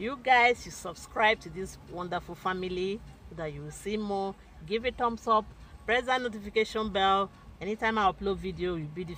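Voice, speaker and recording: A woman at a fairly quick pace, ordinary pitch variation, dry sound with no echo and light background noise. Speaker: family vlogger. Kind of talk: casual vlog chat. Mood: cheerful, affectionate. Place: car. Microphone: phone near.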